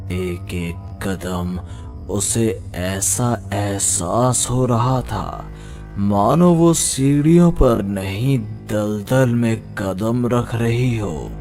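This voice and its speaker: A cartoonish character voice speaks at a very slow pace while clear music plays in the background. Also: man, fairly low pitch for a man. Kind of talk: horror narration. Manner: slow, suspenseful.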